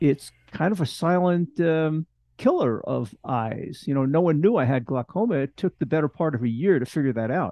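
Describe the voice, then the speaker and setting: At a moderate pace, a man with a fairly high pitch talks in a plain, everyday voice with lively intonation. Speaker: retired scientist and podcast co-host. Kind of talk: casual interview chat.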